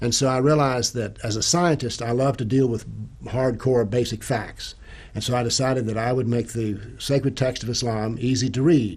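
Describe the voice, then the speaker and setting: At a moderate pace, a man with a medium pitch speaks with fairly even intonation and a somewhat breathy quality. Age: 70s. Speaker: retired professor and author on Islam. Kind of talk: interview.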